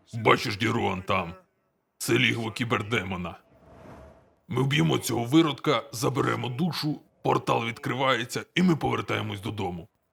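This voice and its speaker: Doing a put-on character voice, a man speaks at a medium pitch with long, frequent pauses. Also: moderate pace. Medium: fan dub. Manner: terse, gruff.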